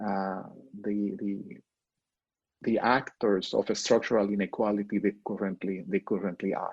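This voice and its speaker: At a fairly slow pace, a man talks with a fairly low pitch. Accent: Mexican. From northern Mexico. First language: Spanish. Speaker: professor. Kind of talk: interview. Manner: halting.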